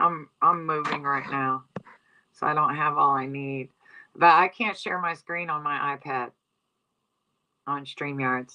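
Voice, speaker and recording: A woman with a strong Southeast Texas accent uses a very deep, low pitch and a bright, sharp tone, keeping her intonation fairly even and leaving long, frequent pauses. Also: fairly slow pace. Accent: thick Southeast Texas. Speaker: livestream commentator. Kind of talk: casual livestream chat. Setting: livestream on iPad in new house. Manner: casual, rambling conversational.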